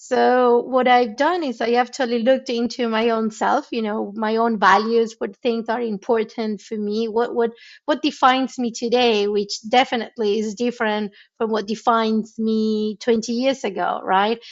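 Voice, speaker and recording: Fairly high in pitch, a woman with a Spanish accent speaks with fairly even intonation and hardly any pauses. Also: moderate pace. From Argentina. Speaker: tech founder and CEO. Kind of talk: interview. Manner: repetitive, stammering restarts.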